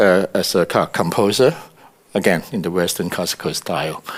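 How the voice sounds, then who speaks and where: With noticeable background noise behind him, this man speaks in very wide pitch swings. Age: 60s. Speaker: composer and musician. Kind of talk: interview. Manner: halting, many fillers and repeats.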